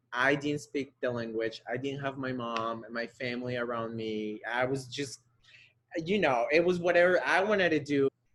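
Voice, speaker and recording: A man in a Spanish accent talks at a moderate pace, medium in pitch with ordinary pitch variation. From Colombia, Bogota. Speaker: ballet dancer. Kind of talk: interview. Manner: halting.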